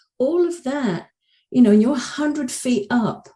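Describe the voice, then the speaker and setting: Dark, mellow tone in a somewhat breathy female voice. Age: 60s. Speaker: coach and author. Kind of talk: podcast interview. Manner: halting, many repeated words and fillers.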